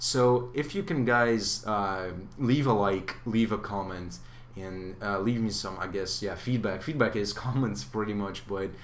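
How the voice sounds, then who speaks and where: A man with a non-native accent talks at a fairly slow pace in a fairly low pitch, with ordinary pitch variation. Audible room echo surrounds the recording. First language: not English. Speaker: gaming youtuber. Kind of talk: gameplay commentary. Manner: hesitant, many fillers.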